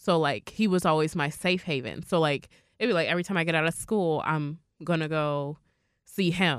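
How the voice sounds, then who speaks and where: An unremarkable speaking voice comes from a woman with a fairly low pitch, ordinary pitch variation, very even loudness, and a moderate pace. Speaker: entrepreneur and podcast host. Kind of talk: casual chat.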